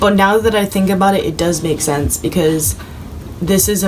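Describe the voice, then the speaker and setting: A woman's voice carries audible room echo, with music playing in the background. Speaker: tarot reader. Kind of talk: tarot reading video. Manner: stumbles over words.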